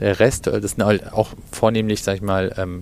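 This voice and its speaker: Fairly low in pitch, a man talks with monotone, flat intonation. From Germany, Cologne. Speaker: retail executive. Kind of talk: interview. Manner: halting, many fillers.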